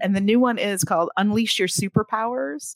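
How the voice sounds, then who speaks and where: In a dry, close sound with no echo, a woman with a normal speaking voice talks fairly quickly at medium pitch with lively intonation. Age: 50s. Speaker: author and writing coach. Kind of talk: casual interview chat.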